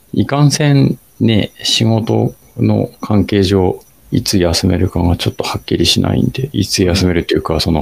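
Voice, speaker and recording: A man's voice at a moderate pace, with very wide pitch swings and very even loudness. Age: 40s. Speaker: amateur runner podcast co-host. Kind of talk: casual chat; scripted narration.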